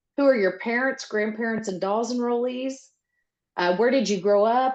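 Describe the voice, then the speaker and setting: A woman speaks in a plain, everyday voice with an American accent, fairly high-pitched, at a moderate pace with ordinary pitch variation. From Oklahoma (Seminole). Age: 50s. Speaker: interviewer. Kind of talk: interview.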